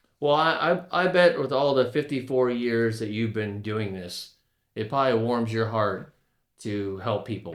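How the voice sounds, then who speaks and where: At a fairly slow pace, a man talks in a normal speaking voice at a medium pitch with ordinary pitch variation. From Florida, Tampa Bay area (Palm Harbor). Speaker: podcast host. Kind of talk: casual interview chat.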